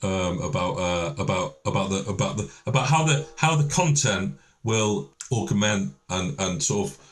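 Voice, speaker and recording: In a Lancashire accent, a man with a fairly low pitch and vocal fry makes very wide pitch swings. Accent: northern English (Lancashire). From northern England, Lancashire. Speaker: event organiser director. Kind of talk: podcast interview. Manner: halting, many repetitions.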